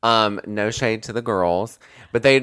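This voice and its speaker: A man talks in an ordinary speaking voice, pitched fairly low, and his pitch varies in an ordinary way. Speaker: social media content creator. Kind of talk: casual chat.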